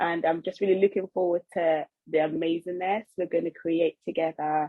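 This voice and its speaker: With a slight Nigerian accent, a woman speaks at a moderate pace in a fairly low pitch. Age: 20s. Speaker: podcast co-host, trainee family psychotherapist. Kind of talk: casual chat.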